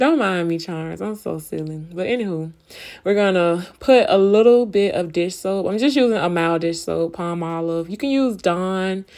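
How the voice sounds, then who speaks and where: Over a very clean recording with a silent background, a woman with a normal speaking voice and an American accent talks at a moderate pace, at medium pitch with ordinary pitch variation. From Florida, Tampa. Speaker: cleaning vlogger. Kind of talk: tutorial. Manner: casual, chatty.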